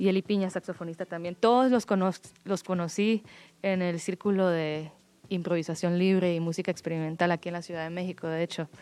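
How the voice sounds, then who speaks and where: A woman's dark, mellow voice, fairly low in pitch, moves at a fairly quick pace with fairly even intonation over a very clean recording with a silent background. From Guatemala. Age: 30s. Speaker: musician. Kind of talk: interview. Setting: studio.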